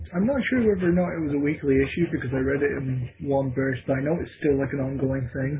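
With noticeable background noise, the speaker goes at a very fast pace with hardly any pauses and ordinary pitch variation. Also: man, fairly high pitch for a man. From Scotland. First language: Scottish Gaelic. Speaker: podcast co-host. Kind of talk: casual chat.

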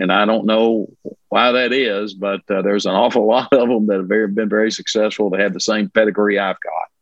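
Fairly quick in pace, a man with a fairly low pitch talks in a monotone, flat intonation. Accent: Kentucky. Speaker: lawyer. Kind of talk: casual interview.

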